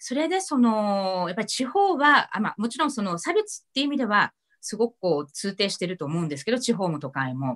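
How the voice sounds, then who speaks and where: A woman speaks at a fairly quick pace with hardly any pauses, against a quiet background. Her fairly high pitch moves in very wide swings. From Nagano, Japan. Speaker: moderator and city councillor; online talk host, presenter. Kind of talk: casual moderated discussion. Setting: video call from home. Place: home room. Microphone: video call.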